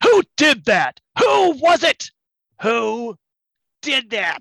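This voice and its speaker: A man bellows in a put-on character voice at an extremely high pitch. The pace is very slow. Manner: bellowing, angry.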